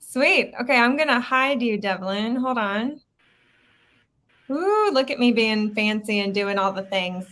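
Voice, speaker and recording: This woman talks loudly at a fairly slow pace, her fairly high voice bright and sharp in tone. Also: ordinary pitch variation. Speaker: actor and live stream host. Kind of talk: casual live stream chat. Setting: live video stream. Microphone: Yeti microphone, new to her.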